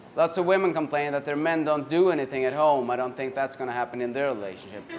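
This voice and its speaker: Over noticeable background noise, a man with a Swedish accent talks at a very fast pace and a fairly high pitch with ordinary pitch variation. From Sweden. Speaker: comedian. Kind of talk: stand-up. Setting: stage with audience.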